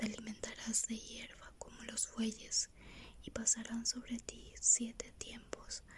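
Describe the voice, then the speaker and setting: The speaker is whispering. The pace is very slow. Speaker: ASMR Bible reader. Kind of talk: reading aloud.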